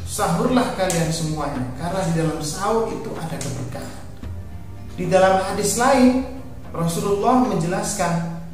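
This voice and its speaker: Over clear background music and strong room echo, a man talks at a moderate pace in a high pitch with ordinary pitch variation. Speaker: religious teacher. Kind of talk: sermon. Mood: calm, earnest. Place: studio.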